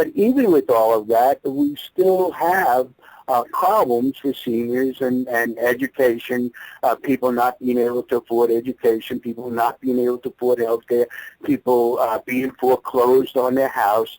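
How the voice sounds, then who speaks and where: In an American accent, a man speaks at medium pitch and a moderate pace with ordinary pitch variation, the sound dry and close with no echo. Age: 60s. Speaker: entrepreneur. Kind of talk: interview. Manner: halting, many fillers and repeats.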